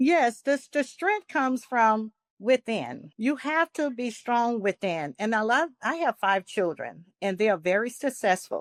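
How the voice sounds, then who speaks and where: In a very clean recording with a silent background and a dry, close sound with no echo, a woman with a New Orleans accent speaks at a fairly high pitch, fairly slowly, with lively intonation and hardly any pauses. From New Orleans, US South. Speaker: nurse practitioner and wellness coach. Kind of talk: podcast interview.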